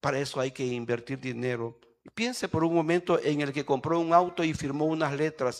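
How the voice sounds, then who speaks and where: At a moderate pace, a man speaks in a normal speaking voice with ordinary pitch variation. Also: fairly high pitch for a man. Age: 60s. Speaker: pastor. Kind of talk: sermon. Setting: church.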